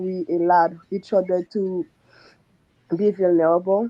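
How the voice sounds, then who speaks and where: A woman with a non-native accent talks at a very slow pace. Her pitch is medium for a woman. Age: 40s. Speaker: surgical nurse / coaching client. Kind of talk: testimony.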